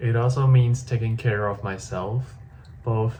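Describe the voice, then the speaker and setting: A man's somewhat breathy voice with a dark, mellow tone, medium pitch, fairly even intonation and a moderate pace. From Hong Kong. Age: 20s. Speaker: vlogger. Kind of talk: personal video diary.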